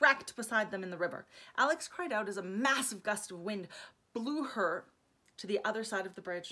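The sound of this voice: What we hear is an unforced reading voice.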